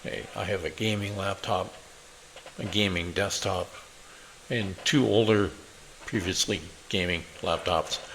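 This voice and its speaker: This man speaks at a fairly slow pace with a fairly low pitch. His intonation is fairly even, broken by long, frequent pauses. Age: 60s. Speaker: programmer and tech YouTuber. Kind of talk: casual channel introduction. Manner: hesitant with frequent fillers.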